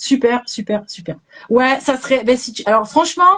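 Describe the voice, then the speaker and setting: A loud woman's voice. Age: 50s. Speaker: animal kinesiologist. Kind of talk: live stream chat. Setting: online live stream.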